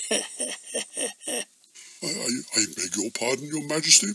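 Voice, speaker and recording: A man puts on a cartoonish character voice, fairly high in pitch, at a moderate pace. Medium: puppet. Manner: formal, polite.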